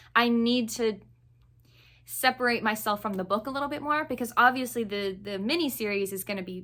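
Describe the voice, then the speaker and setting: A woman talks with an American accent in a bright, sharp tone. Her pitch varies in an ordinary way, and the recording is very clean with a silent background. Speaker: book reviewer. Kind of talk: casual chat. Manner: casual with many fillers.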